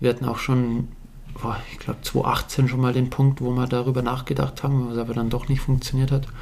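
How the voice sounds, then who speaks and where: Against noticeable background noise, a man with a Bavarian accent talks fairly quickly at medium pitch in a monotone, flat intonation. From Bavaria, Alpine foothills (Bad Aibling area). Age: 30s. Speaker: mountain bike pro rider. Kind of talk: casual interview chat.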